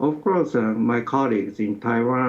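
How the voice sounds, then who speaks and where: In a Japanese accent, a man talks at a moderate pace. His pitch is medium, with ordinary variation. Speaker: sociology professor. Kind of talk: interview. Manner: halting.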